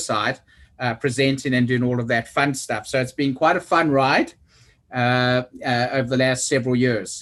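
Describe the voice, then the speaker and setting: With a South African accent, a man speaks at a medium pitch and moderate pace, his intonation fairly even, against a quiet background. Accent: South African, remarked on by self. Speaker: oversight committee member, construction executive. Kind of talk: meeting self-introduction.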